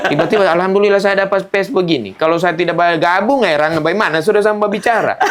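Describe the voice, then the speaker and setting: Over noticeable background noise, a man with a high pitch talks at a very fast pace in an animated tone, with ordinary pitch variation, very even loudness and hardly any pauses. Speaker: stand-up comedian. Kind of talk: interview.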